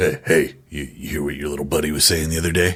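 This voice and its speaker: In a raspy, very deep, low cartoonish character voice, a man talks at a very fast pace with monotone, flat intonation. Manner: brash, crude, teasing.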